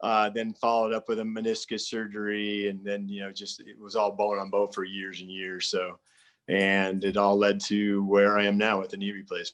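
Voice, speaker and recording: Man with an American accent, monotone, flat intonation and big swings in loudness over a quiet background. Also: moderate pace. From California. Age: 60s. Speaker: arborist and hiking video creator. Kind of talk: interview.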